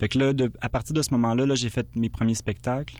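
Someone with a Quebec accent talks at a very fast clip. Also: man. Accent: Québécois French. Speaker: musician. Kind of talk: interview. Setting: studio. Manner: halting.

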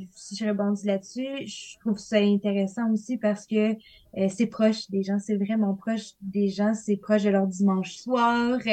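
A woman talks very slowly at a medium pitch, somewhat breathy and dark and mellow in tone. Her intonation stays monotone and flat. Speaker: linguistics graduate student. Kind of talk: podcast interview. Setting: studio.

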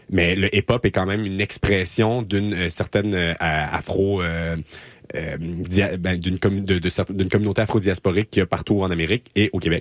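Recorded with a dry, close sound and no echo, a man's very deep, low voice moves at a moderate pace in a monotone, flat intonation. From Quebec, Laval. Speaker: community radio host, master's graduate. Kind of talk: casual interview. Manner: halting, many fillers.

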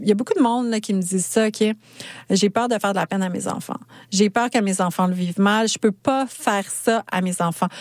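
An ordinary speaking voice moves at a moderate pace with fairly even intonation. The sound is dry and close with no echo. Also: woman. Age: 40s. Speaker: podcaster and clothing shop owner. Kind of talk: radio interview.

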